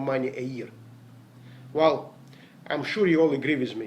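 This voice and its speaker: A man speaks with a non-native accent at a moderate pace. His pitch variation is ordinary. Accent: foreign. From Latvia, Riga. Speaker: network marketer. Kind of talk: motivational talk. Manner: hesitant.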